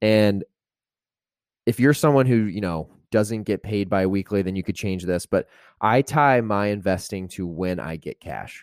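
A man with an unremarkable speaking voice, fairly low in pitch, at a moderate pace with ordinary pitch variation, on a very clean recording with a silent background and a dry, close sound with no echo. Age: 20s. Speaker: finance podcast host. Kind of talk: solo podcast monologue. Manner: casual, many fillers.

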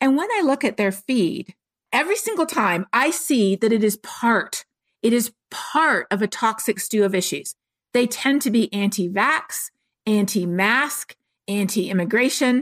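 An unremarkable speaking voice from a woman, fairly high in pitch, with lively intonation and a fairly slow pace, dry and close with no echo, on a very clean recording with a silent background. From Canada. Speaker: climate scientist. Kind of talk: interview.

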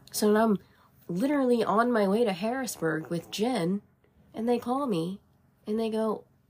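Somewhat breathy and fairly high-pitched, a woman speaks with ordinary pitch variation and long, frequent pauses. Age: 30s. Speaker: podcast co-host. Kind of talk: casual chat.

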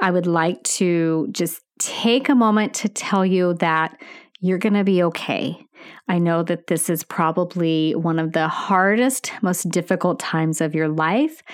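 In an unremarkable speaking voice, a woman talks at a fairly slow pace with fairly low pitch, ordinary pitch variation and very even loudness, recorded very cleanly against a silent background. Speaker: nurse educator podcaster. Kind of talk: educational podcast monologue. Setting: podcast, solo. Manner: warm, upbeat.

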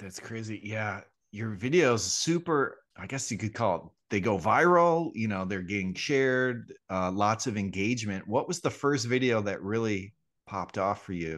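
A man with a fairly low voice speaks with lively intonation over a quiet background. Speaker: podcast co-host. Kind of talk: casual chat. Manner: deliberately slowed intro cadence.

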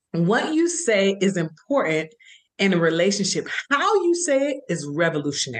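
With an American accent, a woman speaks at a moderate pace. Her medium pitch swings very widely. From Florida, US. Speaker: marriage and family therapist. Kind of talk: casual interview.

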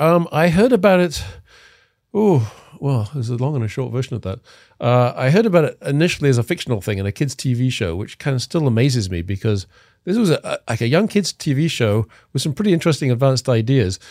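A man with an English accent, medium in pitch with very wide pitch swings, at a very fast pace in a very clean recording with a silent background. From England. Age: 50s. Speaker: cryonics expert. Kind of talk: casual interview.

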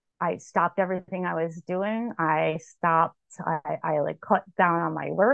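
Here a woman speaks with fairly low pitch. Her pitch varies in an ordinary way. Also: moderate pace. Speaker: author and researcher. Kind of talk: interview conversation. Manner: halting, many fillers and repetitions; informal, unpolished.

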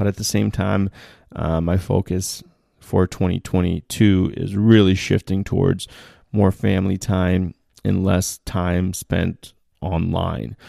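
Very slow and fairly even in intonation, a man's very deep, low voice with a dark, mellow tone comes through a very clean recording with a silent background and a dry, close sound with no echo. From outside US, country where money was scarce. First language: not English. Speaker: finance podcast host. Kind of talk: solo podcast monologue. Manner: many filler words (um, uh).

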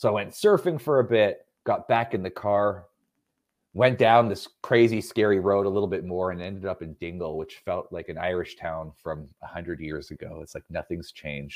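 This man's fairly low voice has ordinary pitch variation and big swings in loudness, delivered at a moderate pace. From Canada. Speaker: clothing company founder and entrepreneur. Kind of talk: casual interview.

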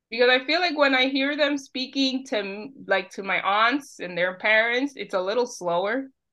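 With a Spanish accent, a woman speaks at a moderate pace in a high pitch, her intonation lively. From Bronx, New York City. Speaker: podcast guest, Instagram creator and book lover. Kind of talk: casual interview chat.

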